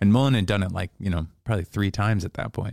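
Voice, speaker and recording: A man's very fast, fairly low-pitched voice, dark and mellow in tone, with an American accent on a very clean recording with a silent background. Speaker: comedian. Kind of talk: casual chat.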